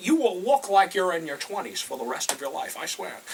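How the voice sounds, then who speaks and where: This man's raised, projected voice carries through noticeable background noise. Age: 60s. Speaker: comedy sketch performer. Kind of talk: comedy sketch.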